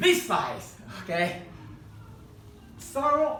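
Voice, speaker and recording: There is audible room echo and noticeable background noise as a man with a Chinese accent talks, his pitch swinging very widely. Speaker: hobby craft instructor. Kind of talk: tutorial demonstration. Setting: live demonstration event. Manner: halting.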